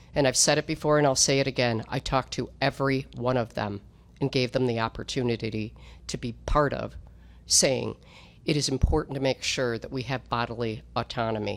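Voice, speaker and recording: The speaker talks at a fairly quick pace. Vocal fry runs through the voice. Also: woman, very deep, low pitch for a woman. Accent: American. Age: 60s. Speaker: state politician. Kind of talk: political speech. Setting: press conference. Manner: animated.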